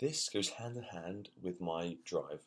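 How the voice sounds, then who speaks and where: This voice speaks with a London accent and ordinary pitch variation. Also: man. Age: 20s. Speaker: university student. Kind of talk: personal vlog. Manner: halting, repeated words.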